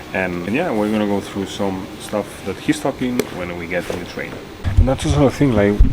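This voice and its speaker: Over noticeable background noise, a man speaks fairly quickly in a fairly low pitch. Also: ordinary pitch variation. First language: Spanish. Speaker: vlogger. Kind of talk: casual vlog. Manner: halting, filler-heavy.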